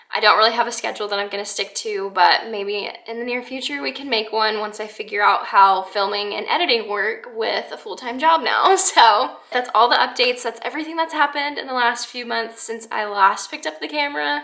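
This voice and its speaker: A woman speaks at a fairly quick pace in a fairly high voice, with lively intonation. Her loudness swings widely, and there's noticeable background noise. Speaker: lifestyle vlogger. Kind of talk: casual vlog monologue.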